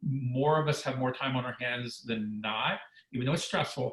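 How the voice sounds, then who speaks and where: A man talks in a normal speaking voice at a fairly quick pace. His pitch is medium, with ordinary variation. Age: 60s. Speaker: former weight-loss reality show contestant, wellness expert. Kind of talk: webinar interview.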